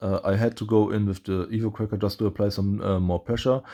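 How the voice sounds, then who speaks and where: Against a quiet background, a man with a non-native accent talks at a fairly quick pace in a fairly low, dark and mellow voice with fairly even intonation. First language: not English. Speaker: gaming YouTuber. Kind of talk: gameplay commentary. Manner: halting, many fillers.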